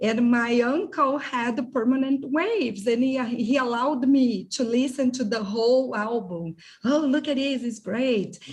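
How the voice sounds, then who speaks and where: Speaking in a Brazilian accent, a woman talks at a fairly slow pace and a high pitch, with noticeable background noise behind her. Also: ordinary pitch variation. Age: 40s. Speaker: translator. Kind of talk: casual chat.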